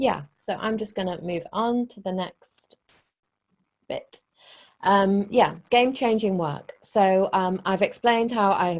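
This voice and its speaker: This woman's voice sits at a medium pitch with ordinary pitch variation. She speaks at a fairly slow pace, her loudness swinging widely. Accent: British. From Britain. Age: 40s. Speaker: relationship coach. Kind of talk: webinar presentation. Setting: online webinar.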